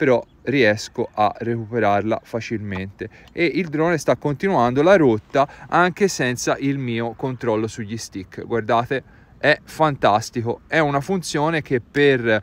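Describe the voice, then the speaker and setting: A man speaks at a fairly slow pace with lively intonation. The sound is dry, with no echo. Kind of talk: tutorial. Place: open country.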